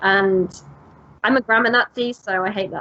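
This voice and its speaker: A woman speaks with an American accent. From Britain. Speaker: English teacher, podcast co-host. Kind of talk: casual chat. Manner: animated.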